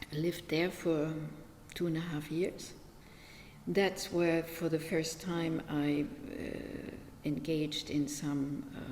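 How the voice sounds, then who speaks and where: Speech comes at a very slow pace, with long, frequent pauses and fairly even intonation. Room echo is audible. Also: woman, very deep, low pitch for a woman. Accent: German. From Germany, small village. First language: German. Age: 70s. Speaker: meditation teacher. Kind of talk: interview. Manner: hesitant, many fillers.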